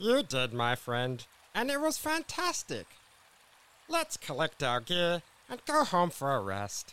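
A cartoonish character voice from a man, fairly high in pitch, fairly slow, with long, frequent pauses. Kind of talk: comic cartoon voice. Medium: audio drama. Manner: indignant, then friendly.

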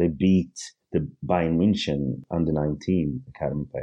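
A man talks in a very deep, low pitch with vocal fry, ordinary pitch variation and a moderate pace. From rural Sweden, Eritrean family. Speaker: football fan podcast guest. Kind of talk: casual chat.

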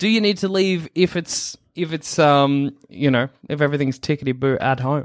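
Recorded very cleanly against a silent background, a man with an Australian accent talks at a moderate pace with ordinary pitch variation. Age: 20s. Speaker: podcast host. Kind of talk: casual chat.

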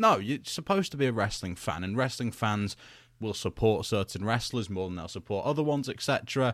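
A man with a British accent speaks at a fairly quick pace and medium pitch with lively intonation. The recording is very clean, with a silent background. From UK. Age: 20s. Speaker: wrestling podcast host. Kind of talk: solo podcast commentary. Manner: casual, conversational with fillers.

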